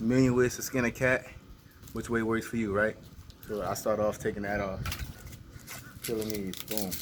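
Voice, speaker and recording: Over noticeable background noise, a man talks in a relaxed tone at a fairly low pitch and moderate pace, with monotone, flat intonation and long, frequent pauses. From New Orleans, Louisiana. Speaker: fitness trainer and vlogger. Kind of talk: casual vlog talk while demonstrating. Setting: outdoors. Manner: relaxed, conversational.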